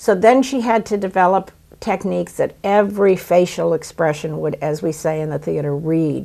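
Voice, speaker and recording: A woman's fairly low, dark and mellow voice at a moderate pace, with ordinary pitch variation and hardly any pauses. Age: 70s. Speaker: actress and playwright. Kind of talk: interview.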